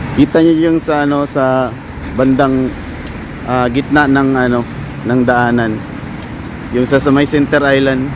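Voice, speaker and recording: A man with a medium-pitched, flat, monotone delivery talks at a fairly slow pace with long, frequent pauses over noticeable background noise. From Philippines, Visayas. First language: Cebuano (Bisaya) (speaking Tagalog). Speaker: vlogger, factory worker abroad. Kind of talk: casual vlog narration. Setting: outdoors. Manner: halting, many fillers.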